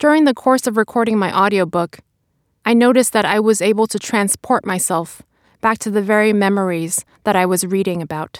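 A woman with a New York accent at medium pitch, ordinary pitch variation and a fairly quick pace, dry and close with no echo, very clean recording with a silent background. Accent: American (New York). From China, raised in Brooklyn, New York. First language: Chinese. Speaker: lawyer and author. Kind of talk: interview monologue about narrating audiobook; reading aloud from memoir. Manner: slurs syllables in heat of moment.

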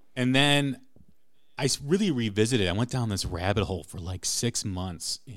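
Over a silent background in a very clean recording, a man with an American accent uses an ordinary speaking voice at a moderate pace with lively intonation. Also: big swings in loudness. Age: 40s. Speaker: rock podcast host. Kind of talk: casual chat.

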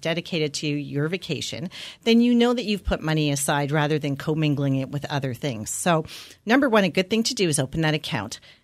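A woman talks at a fairly quick pace with a very deep, low pitch and very wide pitch swings. The recording is very clean, with a silent background. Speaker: financial advisor. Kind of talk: radio interview. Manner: casual, conversational.

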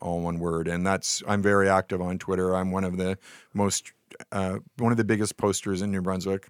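A man with a very deep, low pitch speaks in a monotone, flat intonation at a moderate pace, on a very clean recording with a silent background and a dry, close sound with no echo. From Nova Scotia, Canada. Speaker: beer and wine writer. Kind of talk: casual chat. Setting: studio.

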